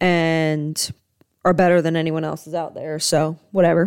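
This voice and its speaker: At a moderate pace, a woman with a fairly low pitch speaks in a dry, close sound with no echo, on a very clean recording with a silent background. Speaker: sports podcast host. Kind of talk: casual solo sports commentary. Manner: animated.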